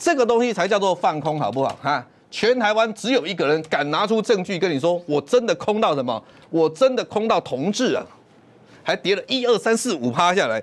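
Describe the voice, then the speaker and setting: A man speaks at a fairly quick pace. His high voice makes very wide pitch swings. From Taiwan. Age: 50s. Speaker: stock market commentator. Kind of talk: sales pitch. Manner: animated. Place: studio. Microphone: lapel.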